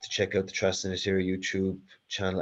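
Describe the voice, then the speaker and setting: Over a quiet background, a man with an Irish accent speaks in a dark, mellow tone. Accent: Carlow accent, slow. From Ireland, south-east. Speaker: talk series host. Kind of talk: hosting Q&A.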